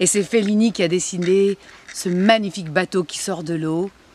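At a fairly slow pace, a woman speaks at medium pitch with ordinary pitch variation in a dry recording with no echo. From Marseille. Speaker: actress. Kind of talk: interview answer. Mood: nostalgic, enthusiastic. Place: garden.

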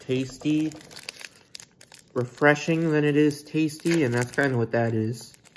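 The speech moves at a fairly slow pace with ordinary pitch variation. Light background noise can be heard. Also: man. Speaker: food reviewer. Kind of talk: casual vlog chat. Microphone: earbuds.

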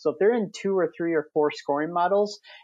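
A man in a plain, everyday voice, with an American accent, a fairly quick pace and ordinary pitch variation. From Wisconsin. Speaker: software demo presenter. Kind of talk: tutorial.

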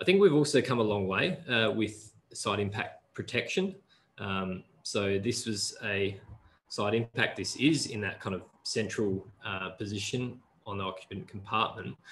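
A man with an Australian accent speaks somewhat breathily at a fairly low pitch and a fairly slow pace, with ordinary pitch variation and light background noise. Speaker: road safety researcher; presenter. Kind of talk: webinar presentation. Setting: video call. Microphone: video call.

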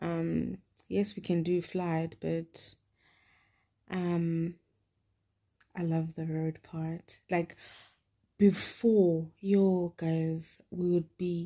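Over a quiet background, a woman speaks very slowly in a fairly low, dark, mellow voice with monotone, flat intonation. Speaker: vlogger. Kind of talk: casual vlog chat. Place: home room. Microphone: phone near.

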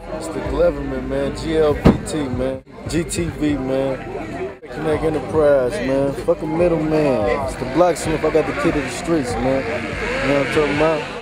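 Amid loud background noise, a man talks at a fairly slow pace in a dry sound with no echo. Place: street. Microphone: phone near.

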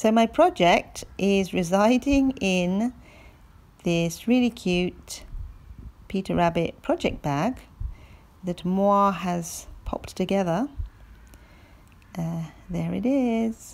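Pausing long and often, a woman speaks at a very slow pace with ordinary pitch variation. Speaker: knitting vlogger. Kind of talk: casual vlog chat. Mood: cheerful, relaxed. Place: open country. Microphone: phone near.

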